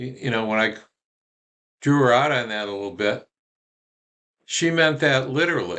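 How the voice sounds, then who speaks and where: Bright and sharp in tone, a man speaks at a moderate pace and medium pitch with ordinary pitch variation. He leaves long, frequent pauses. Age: 70s. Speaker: spiritual group founder. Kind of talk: monologue, personal reminiscence. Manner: halting, many fillers.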